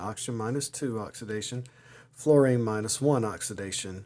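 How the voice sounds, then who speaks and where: Dark, mellow tone from a man with an American accent and fairly even intonation. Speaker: chemistry teacher. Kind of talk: lecture. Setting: outdoors at the beach. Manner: casual, conversational with fillers.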